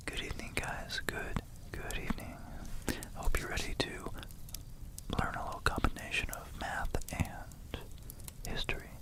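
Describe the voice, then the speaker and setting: A man whispers at a fairly slow pace, with long, frequent pauses. Noticeable background noise can be heard. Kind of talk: ASMR educational whisper lesson. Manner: whispered.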